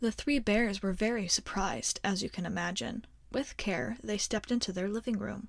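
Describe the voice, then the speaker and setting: A woman talks in a calm, soothing tone with vocal fry. Her pace is moderate. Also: medium pitch for a woman, ordinary pitch variation. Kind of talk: ASMR bedtime story reading. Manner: soft, calm, soothing.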